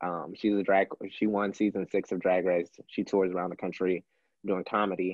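A man is speaking. He has an American accent. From Texas, Houston. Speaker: drag performer. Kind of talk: casual chat.

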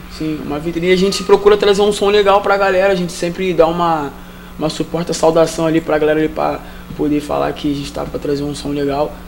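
A man rattles along at a very fast pace in a fairly high pitch, with noticeable background noise behind him. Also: fairly even intonation. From Rio de Janeiro, Vila Militar. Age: 20s. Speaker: street musician. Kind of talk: interview.

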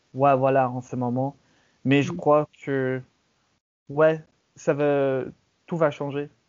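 Speaking very slowly with long, frequent pauses, a man with an English accent holds a flat, monotone intonation at a fairly high pitch. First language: English (speaking French). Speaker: podcast host. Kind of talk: casual chat. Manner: halting.

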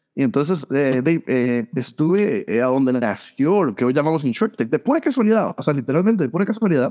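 Talking at a fairly quick pace with hardly any pauses, a man with a fairly high pitch and a dark, mellow tone makes very wide pitch swings at a very even loudness. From Costa Rica, San José. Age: 40s. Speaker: insurance tech blogger and recruiter. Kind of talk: interview. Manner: halting, many repeated words.

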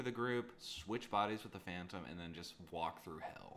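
His intonation is lively. He speaks in an American accent. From US East Coast. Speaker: game designer and podcast co-host. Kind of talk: casual chat. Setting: in person, same room. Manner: animated, laughing often.

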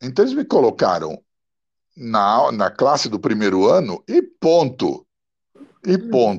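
The speaker is a man talking at a fairly slow pace. He leaves long, frequent pauses. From Milan, Italy, raised in São Paulo. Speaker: poet, radio broadcaster and translator. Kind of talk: interview conversation.

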